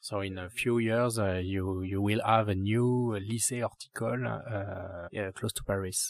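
A man speaks in a French accent at a fairly slow pace. His pitch sits fairly low. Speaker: urban gardener and landscape architect. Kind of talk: interview. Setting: rooftop garden. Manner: halting.

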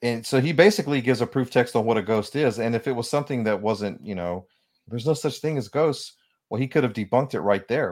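Talking at a very fast pace, a man uses a medium pitch with ordinary pitch variation. The recording is very clean, with a silent background. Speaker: author and spiritual counselor. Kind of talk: radio interview.

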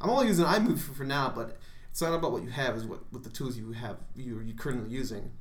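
A man's somewhat breathy, medium-pitched voice with an American accent, lively intonation and a very fast pace, plus audible room echo. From Chicago area, Illinois. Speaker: freelance wrestler. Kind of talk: casual chat.

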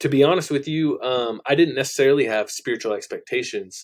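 A man with a Californian accent talks at a fairly quick pace. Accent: Californian American English. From Central Valley, California. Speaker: music producer and life coach. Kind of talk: casual podcast interview.

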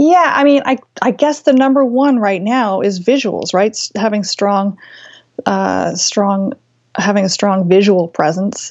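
A woman's unremarkable speaking voice, medium in pitch, with lively intonation, very even loudness and a fairly slow pace. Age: 40s. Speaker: quilt designer. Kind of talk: interview.

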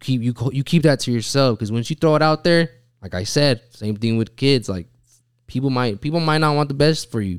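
An unremarkable speaking voice from a man with an American accent, medium-pitched, at a fairly quick pace with ordinary pitch variation, in a dry, close sound with no echo and a very clean recording with a silent background. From Utah. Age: 20s. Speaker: barber. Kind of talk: casual chat.

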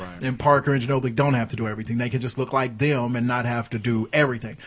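This man talks at a very fast pace. His medium-pitched voice is somewhat breathy. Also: quiet background. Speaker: podcast host. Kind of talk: casual banter, comedy podcast. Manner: animated, profane.

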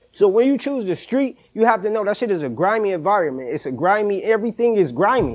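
Very fast and high-pitched, a man with an American accent talks with very wide pitch swings. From US East Coast. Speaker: caller. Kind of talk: heated debate.

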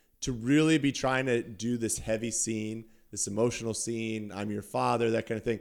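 Heard on a very clean recording with a silent background, a normal speaking voice moves at a moderate pace. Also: man. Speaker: podcast co-host. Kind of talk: casual chat.

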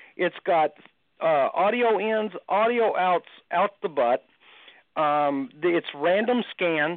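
This man has a strong Texan accent and a high pitch. He speaks very slowly with lively intonation. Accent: Texan, noted as strong. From Texas. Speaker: paranormal equipment builder. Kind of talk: casual chat.

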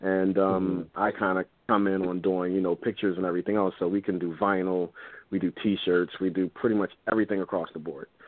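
A man talks at a very fast pace in a very deep, low pitch. His intonation is monotone and flat. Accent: American. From Philadelphia. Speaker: photographer. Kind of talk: interview.

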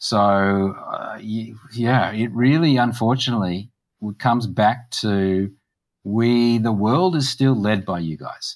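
Speaking at a very slow pace, a man with an Australian accent has a medium pitch and ordinary pitch variation. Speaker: political party policy chair. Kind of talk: interview. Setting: video call.

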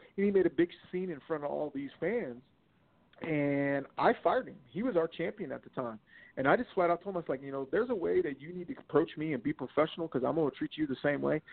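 His intonation is lively and his pitch fairly high. The man's delivery comes at a very fast pace. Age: 40s. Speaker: wrestling promoter. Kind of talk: casual chat.

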